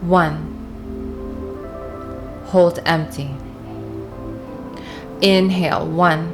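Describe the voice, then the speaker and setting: Music plays behind a woman whose fairly low voice moves very slowly with fairly even intonation and long, frequent pauses. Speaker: meditation guide. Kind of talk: guided breathing meditation. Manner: slow, calm, paced with long pauses.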